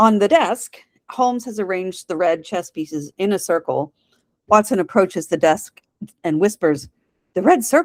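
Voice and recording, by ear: Reading aloud in a natural voice, with lively intonation over a quiet background.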